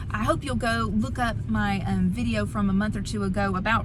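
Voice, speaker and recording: A woman with a very deep, low pitch talks at a moderate pace in a flat monotone, with noticeable background noise and audible room echo. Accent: Southern US. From US South, Alabama. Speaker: author and devotional book reviewer. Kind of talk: casual vlog book review. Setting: in a car.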